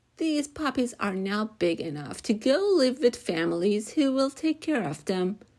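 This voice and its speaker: A female-sounding, put-on character voice pitched fairly high runs on with hardly any pauses. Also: moderate pace. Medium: read story. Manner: kind, gentle.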